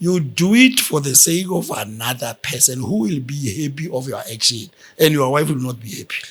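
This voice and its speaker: Here a man speaks with a fairly high pitch and a somewhat breathy voice. His intonation is lively and his pace moderate. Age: 60s. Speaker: guest, host's father. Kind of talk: casual chat.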